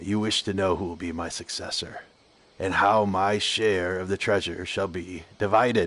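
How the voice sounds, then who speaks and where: A man uses a raspy, put-on character voice with a very deep, low pitch. He keeps a moderate pace against a quiet background. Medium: read story. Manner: cold, commanding.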